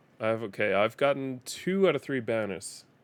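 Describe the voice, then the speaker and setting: A man with an East Coast accent in a very clean recording with a silent background. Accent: American East Coast sounding English. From Denmark. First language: Danish. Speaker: gaming streamer. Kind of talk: live gameplay commentary. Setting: live stream.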